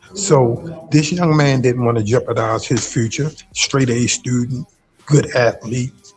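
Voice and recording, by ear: Faint music plays behind a man with a medium pitch and a slightly husky edge. He speaks at a fairly slow pace with ordinary pitch variation.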